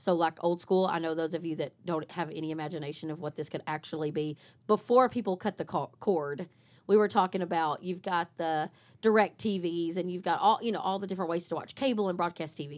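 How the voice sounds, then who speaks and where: On a very clean recording with a silent background, a woman with a fairly low pitch speaks at a fairly quick pace in an animated tone with ordinary pitch variation. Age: 40s. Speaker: marketing podcast co-host. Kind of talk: casual chat.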